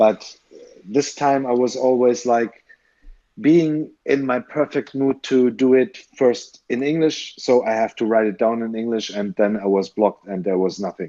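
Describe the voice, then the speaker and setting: A man with a German accent talks at a fairly slow pace, his pitch medium. His tone is dark and mellow, and his pitch varies in an ordinary way. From Germany. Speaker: stop motion animator. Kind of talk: podcast interview. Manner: halting.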